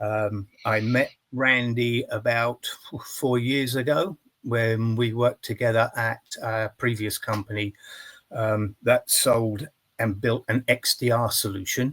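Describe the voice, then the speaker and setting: A man with an English accent at a medium pitch, very slow and fairly even in intonation, recorded very cleanly against a silent background with a dry, close sound and no echo. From England. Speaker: company CEO. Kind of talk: interview.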